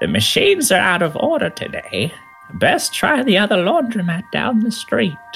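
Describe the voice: Over clear music in the background, a man uses a put-on character voice, croaky and high-pitched. He moves at a moderate pace.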